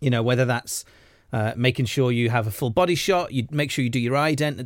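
A man with a Welsh accent talks at a fairly quick pace, medium in pitch with lively intonation. The recording is very clean, with a silent background. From Wales. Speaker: actor. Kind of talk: casual chat.

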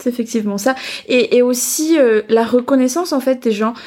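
A fairly high-pitched woman's voice in a Malagasy accent. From Madagascar, outskirts of Antananarivo. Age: 20s. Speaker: business school student. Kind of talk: interview about her culture. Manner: hesitant, many fillers.

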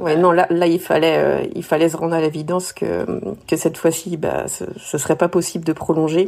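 With vocal fry and monotone, flat intonation, a woman talks at a fairly low pitch and moderate pace. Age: 40s. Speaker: returned expat interviewee. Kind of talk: casual interview chat.

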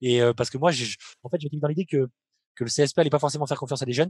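A man's voice with ordinary pitch variation. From France, Limoges. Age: 30s. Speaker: professional basketball player. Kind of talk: interview. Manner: hesitant, many fillers.

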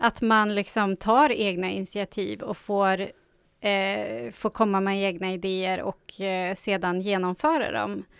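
Recorded very cleanly with a silent background and a dry, close sound with no echo, a woman speaks in a plain, everyday voice at medium pitch, at a fairly slow pace, with ordinary pitch variation. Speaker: radio co-host and youth radio supervisor. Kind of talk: casual radio chat. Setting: radio studio.

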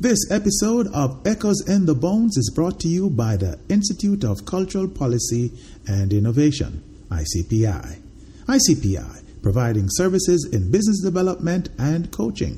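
Somewhat breathy, the voice has a dark, mellow tone and very wide pitch swings at a moderate pace. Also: man, fairly high pitch for a man. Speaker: podcast host. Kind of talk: interview, sponsor read.

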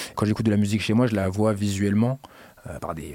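This is a man speaking. He has a normal speaking voice. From Paris suburbs, Garges-lès-Gonesse. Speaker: club and party organizer. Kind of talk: casual interview.

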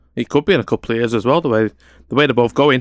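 Recorded very cleanly against a silent background, a man at medium pitch sounds dry and close with no echo. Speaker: football podcaster. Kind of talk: casual sports debate.

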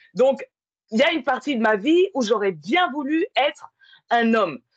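With very wide pitch swings, a woman speaks at a high pitch and a fairly slow pace in dry, close sound with no echo. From France, working-class neighborhood. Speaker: podcast host. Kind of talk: casual chat.

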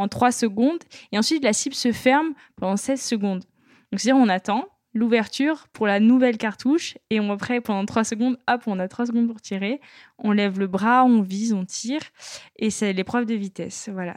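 In a plain, everyday voice with ordinary pitch variation, the speaker goes at a moderate pace on a very clean recording with a silent background. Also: woman, fairly high pitch for a woman. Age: 20s. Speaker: sport shooter. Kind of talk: interview.

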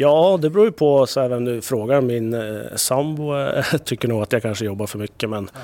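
A man at a fairly quick pace, an ordinary speaking voice with ordinary pitch variation and a medium pitch. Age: 30s. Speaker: TV executive producer. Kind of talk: casual interview chat.

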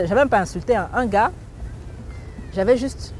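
Fairly quick, fairly high speech from a woman, ordinary in pitch variation, amid noticeable background noise. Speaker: author and humorist. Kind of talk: interview. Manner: halting, frequent repetitions. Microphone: crackling interference in recording.

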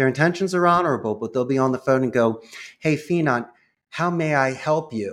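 In a very clean recording with a silent background, a man with a Philadelphia accent talks at a fairly quick pace, his pitch fairly high with ordinary variation. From Northeast Philadelphia. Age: 50s. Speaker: call center CEO. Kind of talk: casual interview.

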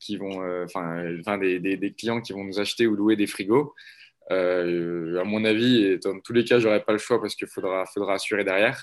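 Against a quiet background, a man talks at a moderate pace with a fairly low pitch and fairly even intonation. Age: 20s. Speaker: startup founder. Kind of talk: interview. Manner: halting.

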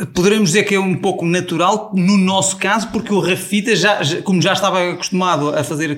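A man at a moderate pace, with audible room echo. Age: 40s. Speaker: travel influencer. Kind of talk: casual interview.

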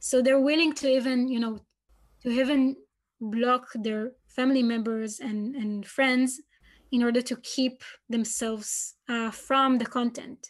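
A woman with an Israeli accent speaks at a high pitch and a fairly slow pace, her intonation monotone and flat. The recording is very clean, with a silent background. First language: Hebrew. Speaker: PhD researcher. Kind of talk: interview.

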